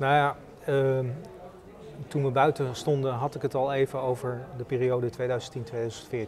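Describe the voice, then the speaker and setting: Over light background noise, a man talks fairly slowly in a flat monotone, leaving long, frequent pauses. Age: 40s. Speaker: local politician. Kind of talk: interview. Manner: hesitant, many filler sounds.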